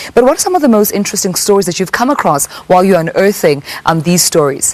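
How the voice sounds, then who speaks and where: The speech runs at a very fast pace with lively intonation. Noticeable background noise sits behind it. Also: woman, medium pitch for a woman. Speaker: TV talk show host. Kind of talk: live TV talk show with call-ins.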